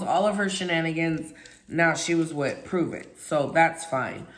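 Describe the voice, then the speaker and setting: In a room with audible echo, a woman with a fairly low pitch speaks in an animated tone. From Alaska. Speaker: YouTube vlogger, former network marketer. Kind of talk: casual monologue, personal story. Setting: livestream. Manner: loud.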